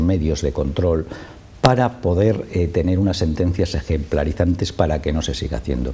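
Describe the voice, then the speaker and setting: Very deep and low, a man's voice moves at a moderate pace with ordinary pitch variation. Noticeable background noise sits behind him. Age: 60s. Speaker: association president. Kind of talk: TV interview.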